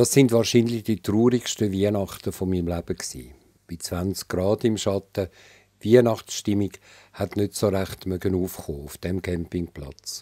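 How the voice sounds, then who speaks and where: On a very clean recording with a silent background and a dry, close sound with no echo, a man with a Swiss accent speaks at a fairly slow pace in a fairly low pitch, his tone dark and mellow and his pitch varying in an ordinary way. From Switzerland. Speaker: author. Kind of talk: reading aloud.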